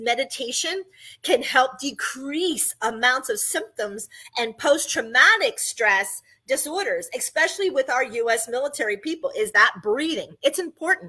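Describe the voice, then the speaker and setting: A woman projects her voice in a bright, sharp tone at a high pitch. Her pitch swings very widely as she keeps a moderate pace. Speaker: podcast host. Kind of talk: podcast monologue on breathing and chakras.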